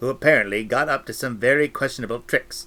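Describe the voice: Ordinary pitch variation throughout a plain reading aloud.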